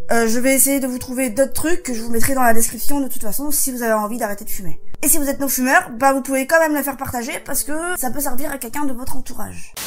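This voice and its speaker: A woman speaks at a very fast pace with a high pitch. Her pitch varies in an ordinary way over background music. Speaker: vlogger. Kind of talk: vlog; reading aloud.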